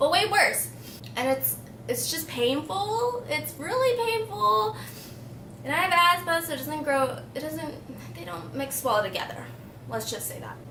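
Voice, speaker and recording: A woman speaks with long, frequent pauses. Noticeable background noise and audible room echo fill the recording. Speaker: beauty vlogger. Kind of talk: casual chat. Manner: casual, rambling.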